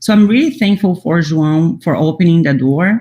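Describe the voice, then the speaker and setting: The speaker has a Portuguese accent and talks at a moderate pace. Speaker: immunology scientist. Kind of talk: panel talk. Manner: halting.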